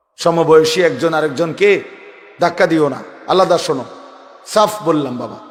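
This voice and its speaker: A man with a fairly high pitch and ordinary pitch variation talks amid audible room echo and noticeable background noise. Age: 40s. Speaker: Islamic preacher. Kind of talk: sermon. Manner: emphatic, repetitive exhortation.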